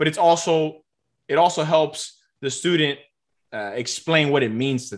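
A man speaks at a moderate pace in an ordinary speaking voice, fairly high in pitch. His pitch variation is ordinary, while his loudness swings widely. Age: 20s. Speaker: math tutor and tutoring business owner. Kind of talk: interview.

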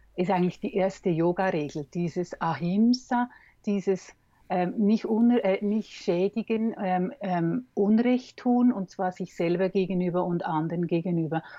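A woman with a medium pitch and ordinary pitch variation talks at a fairly slow pace. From Switzerland. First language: Swiss German (speaking German). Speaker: communication trainer and coach. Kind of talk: interview conversation. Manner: hesitant, many fillers.

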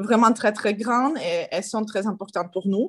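A woman's fairly high voice with a Ukrainian accent and ordinary pitch variation. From Ukraine. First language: Ukrainian (speaking French). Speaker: politician. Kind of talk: interview. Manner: halting.

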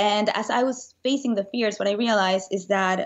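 In a Spanish accent, a woman speaks at a fairly high pitch with ordinary pitch variation. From Venezuela. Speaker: motivational speaker and author. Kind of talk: casual interview.

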